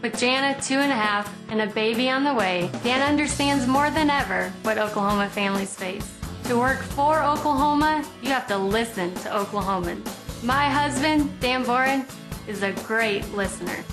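Music plays in the background as a woman speaks at a moderate pace. Her pitch is fairly high, with ordinary variation. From South Dakota. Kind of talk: TV commercial read.

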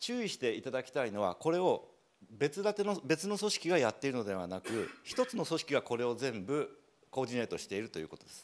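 A fairly high-pitched man talks at a very fast pace with very wide pitch swings and big swings in loudness, against light background noise. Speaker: rural entrepreneur. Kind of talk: presentation. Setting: stage with audience. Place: hall. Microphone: handheld.

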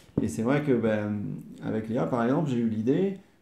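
A man's dark, mellow tone is heard with audible room echo. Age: 40s. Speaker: interviewee, host's partner. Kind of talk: casual interview. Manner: hesitant, many fillers and repetitions. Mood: calm, content. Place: home room. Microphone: camera far.

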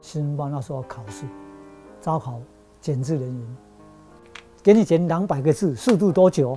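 Faint background music behind a man's fairly high voice, lively intonation, big swings in loudness, a moderate pace and long, frequent pauses. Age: 70s. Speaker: typesetter. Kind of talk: interview answer. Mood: calm, upbeat. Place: workshop.

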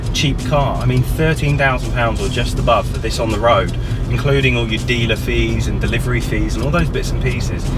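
Clear music in the background behind a male speaker at a moderate pace. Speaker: car reviewer. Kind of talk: car review commentary. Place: car.

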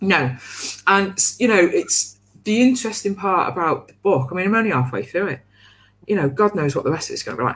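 Pausing long and often, a woman speaks at a fairly quick pace with vocal fry and very wide pitch swings. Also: medium pitch for a woman. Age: 40s. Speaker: co-host of a coaching livestream. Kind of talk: casual chat. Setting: livestream. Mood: candid, wry, reflective. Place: home room. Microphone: video call.

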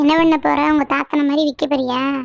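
A female-sounding, cartoonish character voice pitched high, delivered at a fairly slow pace. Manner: scolding, teasing.

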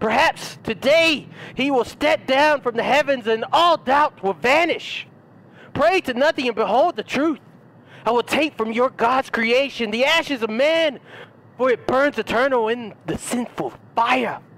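At a fairly slow pace, a man performs a put-on character voice at extremely high pitch, with a fairly bright tone and ordinary pitch variation.

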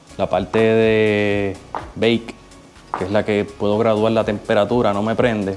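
Moderate-paced speech in a monotone, flat intonation, with faint music in the background. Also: man. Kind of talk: casual vlog chat. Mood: frustrated, unsure. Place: garage. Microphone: lapel.

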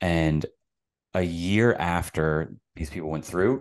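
Against a quiet background, a man with a very deep, low pitch talks at a very slow pace with ordinary pitch variation. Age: 30s. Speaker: psychotherapist; podcast guest. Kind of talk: casual interview conversation. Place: home room. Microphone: studio mic.

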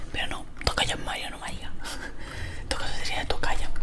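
A woman talks at a fairly quick pace. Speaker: gaming YouTuber. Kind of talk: ASMR let's play commentary. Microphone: studio mic.

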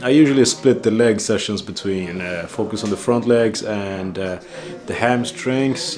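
Over faint music in the background, a man speaks at a fairly slow pace. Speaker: vlogger. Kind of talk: casual vlog chat. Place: kitchen. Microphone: phone near.

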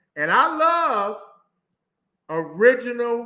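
A man with an American accent, his raised, projected voice bright and sharp in tone at a very slow pace, against a quiet background. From US Midwest. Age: 50s. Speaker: social dancer and Navy veteran; guest dance instructor. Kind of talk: interview answer. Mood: animated, candid storytelling. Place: home room.

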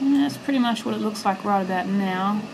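A relaxed tone over noticeable background noise. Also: woman. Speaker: 3D printing hobbyist. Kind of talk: casual hobby video narration. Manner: relaxed, hesitant with fillers.

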